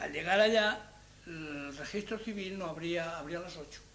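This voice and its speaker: A high-pitched man at a fairly slow pace, with audible room echo and noticeable background noise. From Spain, Salamanca province. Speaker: Spanish immigrant interviewee. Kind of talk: interview storytelling.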